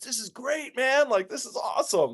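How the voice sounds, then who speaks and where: A man with a New Jersey accent against a quiet background. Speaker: podcast host. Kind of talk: casual chat.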